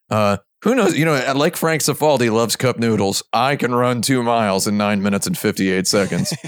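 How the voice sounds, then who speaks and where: A man speaks at a moderate pace and medium pitch with lively intonation in an unremarkable speaking voice, on a very clean recording with a silent background. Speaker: podcast co-host. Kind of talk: casual panel podcast banter. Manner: jokey, talkative.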